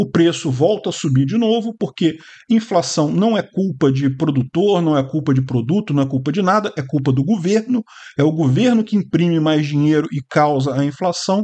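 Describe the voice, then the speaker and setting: A man's dark, mellow tone with lively intonation, a moderate pace and a quiet background. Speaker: political commentator. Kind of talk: commentary.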